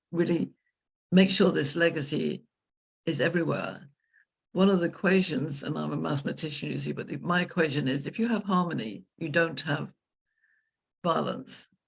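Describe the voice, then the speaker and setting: A woman's very deep, low voice in an English accent, with vocal fry, a fairly quick pace, ordinary pitch variation, and long, frequent pauses. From England. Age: 70s. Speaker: leadership consultant. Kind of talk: interview conversation.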